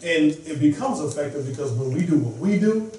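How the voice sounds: The delivery is fairly quick, with lively intonation and a slightly mellow tone. Room echo is audible. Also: man, fairly high pitch for a man.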